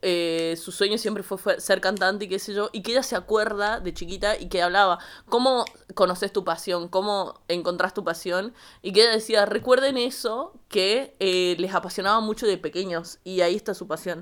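In a very clean recording with a silent background, a woman speaks at medium pitch and a moderate pace, with ordinary pitch variation and big swings in loudness. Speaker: podcast co-host. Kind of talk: casual chat. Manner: animated.

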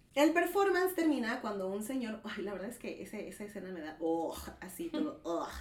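With a Mexican accent, a woman speaks in an animated tone at a moderate pace, her intonation lively and the room echo audible. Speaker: podcast host. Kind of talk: casual chat.

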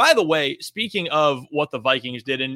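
A plain, everyday voice from a man, fairly high in pitch with ordinary pitch variation, with an American accent and a dry, close sound with no echo. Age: 20s. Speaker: sports podcast host. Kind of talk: casual sports analysis chat.

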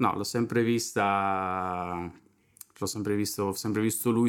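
A man's fairly low voice with fairly even intonation. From Sardinia, Italy. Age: 20s. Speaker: drummer and drum teacher. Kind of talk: casual chat.

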